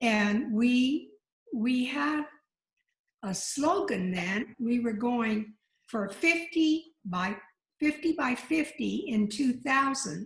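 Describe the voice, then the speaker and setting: A woman with a fairly high voice speaks at a very slow pace using lively intonation. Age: old. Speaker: former legislator. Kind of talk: short congratulatory remarks.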